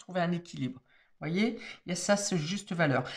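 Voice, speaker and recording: A woman talks with lively intonation at a moderate pace amid noticeable background noise. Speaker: tarot card reader. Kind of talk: tarot reading monologue. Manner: hesitant, many fillers.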